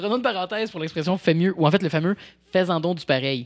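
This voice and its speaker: Talking very fast, a man uses a high pitch with ordinary pitch variation. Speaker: podcast host. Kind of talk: casual chat. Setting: studio.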